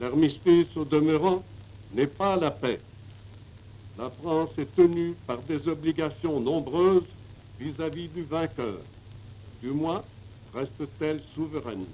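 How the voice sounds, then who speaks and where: A man with a fairly high pitch talks at a very slow pace, leaving long, frequent pauses. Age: 80s+. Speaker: head of state, military marshal. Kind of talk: radio address to the nation. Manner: lively.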